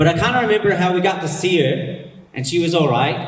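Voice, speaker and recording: A man talks with an American accent and ordinary pitch variation. The recording has audible room echo and noticeable background noise. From United States. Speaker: pastor. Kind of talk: sermon. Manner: casual, conversational.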